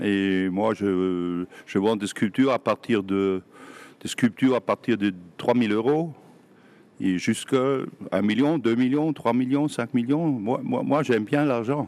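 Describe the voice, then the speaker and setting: A man with a German accent, very slow pace and long, frequent pauses. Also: medium pitch for a man, ordinary pitch variation. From southern Germany. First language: German (speaking French). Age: 60s. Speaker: sculptor. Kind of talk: interview. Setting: workshop. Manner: halting.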